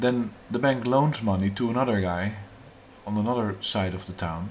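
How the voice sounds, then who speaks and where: A man speaks with a fairly low pitch and ordinary pitch variation. Audible room echo surrounds the voice. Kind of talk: monologue on economics. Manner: halting, many fillers.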